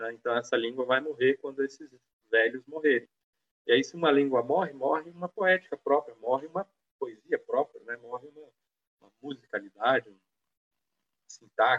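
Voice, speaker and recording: This man's voice sits fairly high in pitch. He talks at a moderate pace. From Brazil, São Paulo state (Penápolis). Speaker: anthropologist, former culture official. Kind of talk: live-streamed panel discussion.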